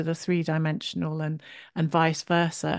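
A woman speaks at a fairly slow pace. The background is quiet, and the sound is dry and close with no echo. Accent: English. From England, Shropshire. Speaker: podcast host and creative coach. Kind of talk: interview.

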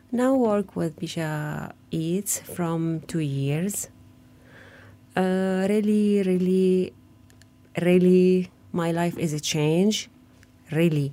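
In an Arabic accent, a woman speaks very slowly in a dark, mellow, fairly low voice, with long, frequent pauses, on a very clean recording with a silent background. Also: ordinary pitch variation. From Gaza, Palestine. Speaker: refugee home chef. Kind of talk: testimony. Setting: studio. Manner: halting.

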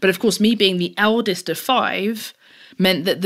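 On a very clean recording with a silent background, a woman with a London accent talks at a fairly quick pace in a medium pitch with ordinary pitch variation. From East London, England. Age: 30s. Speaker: technologist and advocate for women in tech. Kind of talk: interview.

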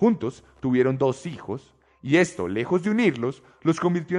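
Very wide pitch swings at a moderate pace. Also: man. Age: 20s. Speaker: podcast host. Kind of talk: true crime narration.

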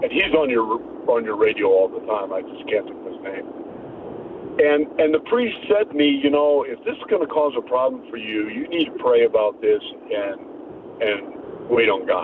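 Big swings in loudness at a moderate pace, with noticeable background noise. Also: man. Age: 60s. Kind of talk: call-in personal testimony. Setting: phone call. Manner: halting.

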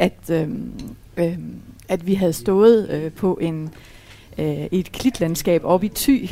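Her tone is dark and mellow. This woman speaks at a medium pitch with ordinary pitch variation. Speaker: widow. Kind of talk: casual chat. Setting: restaurant.

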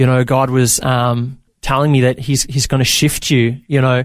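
A man with an Australian accent, medium pitch, fairly even intonation and a fairly quick pace, on a very clean recording with a silent background. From Australia (Victoria, Bendigo/Maryborough). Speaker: entrepreneur and former youth pastor. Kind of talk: interview testimony. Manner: casual with frequent fillers.

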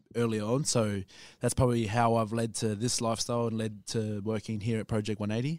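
Fairly even intonation marks this voice with an Australian accent. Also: man, very clean recording, silent background. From Brisbane, Australia. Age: 20s. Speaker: fitness trainer. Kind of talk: casual chat.

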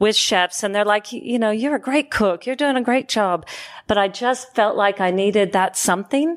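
In a dry, close sound with no echo, a woman with an American accent talks in an unremarkable speaking voice at a medium pitch with ordinary pitch variation. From Oregon, US. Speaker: podcast host, chef and food consultant. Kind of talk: casual interview chat. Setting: studio.

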